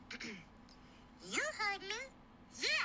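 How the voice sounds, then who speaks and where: Over light background noise, someone performs a put-on character voice at an extremely high pitch. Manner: menacing, aggressive.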